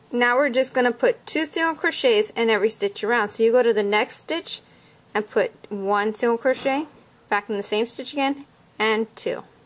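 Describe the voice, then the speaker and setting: Music plays in the background as a woman talks at a moderate pace, her fairly high pitch showing ordinary pitch variation. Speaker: crochet instructor. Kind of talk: tutorial. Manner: casual step-by-step instructing.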